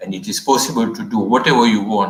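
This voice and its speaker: At a fairly quick pace, an ordinary speaking voice moves with ordinary pitch variation. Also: man. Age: 60s. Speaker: medical professor. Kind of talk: panel discussion.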